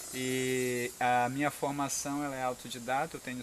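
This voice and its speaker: A man talks at a medium pitch while noticeable background noise is audible. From Brazil, Pará (São Miguel do Guamá). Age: 40s. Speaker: agroforestry farmer and permaculture educator. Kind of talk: on-site explanation to visitors.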